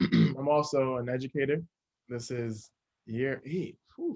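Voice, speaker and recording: With an American accent, a man uses a normal speaking voice at a medium pitch, fairly even intonation and a fairly slow pace. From New Jersey, US. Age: 30s. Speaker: chef and educator. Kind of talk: interview.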